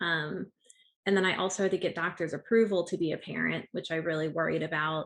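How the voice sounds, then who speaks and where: Using an unremarkable speaking voice, a woman talks at a fairly quick pace with a fairly low pitch and fairly even intonation. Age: 30s. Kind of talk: interview.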